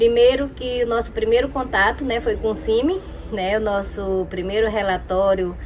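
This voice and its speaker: Over noticeable background noise, a woman with a fairly high pitch and ordinary pitch variation speaks at a moderate pace. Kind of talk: testimony. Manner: hesitant, frequent fillers.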